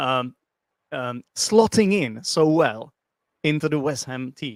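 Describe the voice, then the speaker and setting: On a very clean recording with a silent background, a man with a fairly high pitch speaks at a very slow pace, his lively intonation marked by big swings in loudness. The sound is dry and close, with no echo. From Czech Republic. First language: Czech. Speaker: English teacher and football fan. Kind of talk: casual chat.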